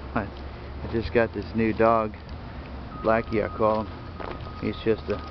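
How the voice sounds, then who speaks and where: Against noticeable background noise, a man with a fairly low pitch is heard in a dry sound with no echo. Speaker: dog owner vlogger. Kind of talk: casual vlog chat. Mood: relaxed, pleased. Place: open country. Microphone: phone near.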